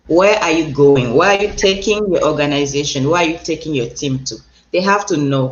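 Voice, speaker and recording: With a Cameroonian accent, a woman speaks in a very deep, low pitch. Her pace is moderate and her pitch varies in an ordinary way. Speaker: transformational coach and speaker. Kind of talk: interview.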